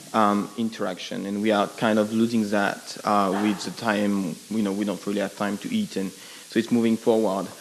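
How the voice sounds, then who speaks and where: Against noticeable background noise, a man with a French accent speaks at a moderate pace in a fairly low pitch, his intonation monotone and flat, with hardly any pauses. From France. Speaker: audience member asking a question. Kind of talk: audience question at panel. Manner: halting, many fillers.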